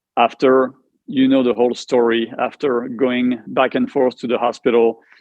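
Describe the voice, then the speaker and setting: A man with a French accent speaks at a medium pitch in a flat monotone. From France. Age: 50s. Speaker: cancer survivor, martial arts instructor. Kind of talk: interview testimony. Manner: halting.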